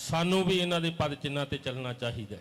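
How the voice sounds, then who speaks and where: The speaker is a man with a Punjabi accent. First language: Punjabi (speaking Hindi). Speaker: religious preacher. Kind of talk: sermon.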